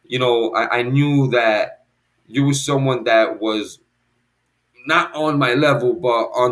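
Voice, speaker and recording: A man's medium-pitched voice with ordinary pitch variation and an American accent. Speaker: hip hop producer and emcee. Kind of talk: casual chat. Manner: loud; halting.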